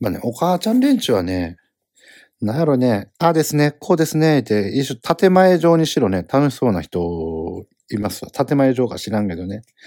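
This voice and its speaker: Speaking in a Kansai accent at a moderate pace, a man with a medium pitch and a dark, mellow tone makes very wide pitch swings, recorded very clean, dry and close with a silent background and no echo. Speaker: comedian podcast host. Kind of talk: solo casual monologue. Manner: rambling with many fillers.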